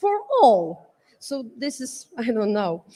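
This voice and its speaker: A woman with a non-native accent speaks at a high pitch. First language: not English. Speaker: panelist at education summit. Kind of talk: panel talk from notes. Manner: halting, many fillers and restarts.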